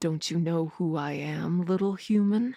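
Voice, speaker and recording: A woman speaks in a put-on character voice at a moderate pace. Her pitch sits fairly low. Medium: read story. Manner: smug, mocking.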